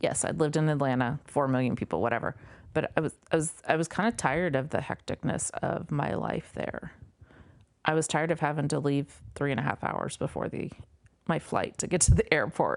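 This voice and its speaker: A woman's very deep, low voice with an American accent, fairly quick, with ordinary pitch variation, against a quiet background. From Nebraska, farm. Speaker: podcast guest. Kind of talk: casual chat.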